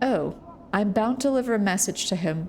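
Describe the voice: Plain reading aloud is what this clip contains.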